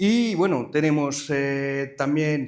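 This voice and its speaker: Speaking very slowly with a French accent, a man talks in a room with audible echo. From France. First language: French (speaking Spanish). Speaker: company director, conference speaker. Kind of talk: conference presentation. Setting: live event with audience. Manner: hesitant, many filler sounds.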